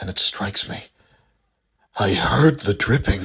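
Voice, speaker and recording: A man's put-on character voice, fairly low in pitch. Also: moderate pace. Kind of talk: first-person inner monologue. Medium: read story.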